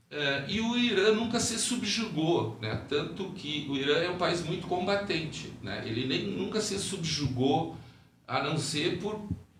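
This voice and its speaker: Amid noticeable background noise and audible room echo, a high-pitched man speaks at a fairly slow pace with lively intonation. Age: 60s. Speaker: podcast guest, traveler. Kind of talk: interview, casual explanation. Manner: hesitant, many fillers.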